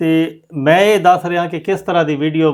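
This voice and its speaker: On a very clean recording with a silent background, a man talks in an unremarkable speaking voice with ordinary pitch variation. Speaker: poet. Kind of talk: interview answer.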